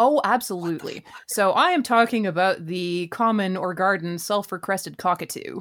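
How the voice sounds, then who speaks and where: A woman with a plain, everyday voice, medium pitch, ordinary pitch variation and a moderate pace. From Canada (Vancouver). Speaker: writer and musician. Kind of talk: casual chat.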